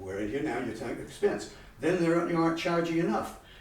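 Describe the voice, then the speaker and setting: A man speaks at a very fast pace with a high pitch and lively intonation. Noticeable background noise and audible room echo are present. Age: 80s+. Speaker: local business owner speaking at town meeting. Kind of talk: public comment at town meeting. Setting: town selectmen's meeting room. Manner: animated; halting.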